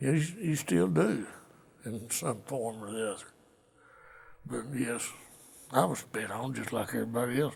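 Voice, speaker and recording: An American accent marks this man's medium-pitched voice with lively intonation. He holds a moderate pace but leaves long, frequent pauses. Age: 60s. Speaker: Vietnam war veteran. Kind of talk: interview testimony.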